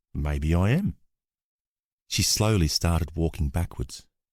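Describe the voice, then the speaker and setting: A man in an Australian accent speaks fairly slowly, his very deep, low voice dark and mellow in tone. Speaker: actor. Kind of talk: audiobook narration.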